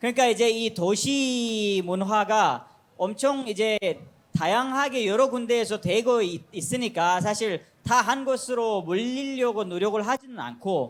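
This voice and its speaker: With a non-native accent, a high-pitched man speaks at a fairly slow pace and a very even loudness. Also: ordinary pitch variation. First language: not Korean (speaking Korean). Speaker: foreign resident panelist. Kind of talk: talk show panel discussion.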